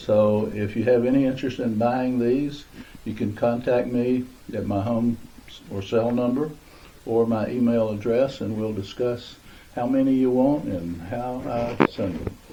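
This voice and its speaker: A man speaks at a fairly slow pace in a medium pitch. His intonation is fairly even, and audible room echo surrounds the voice. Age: 80s+. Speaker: retired crafter raising money for charity. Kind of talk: casual interview. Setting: home basement. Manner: hesitant, many filler uhs.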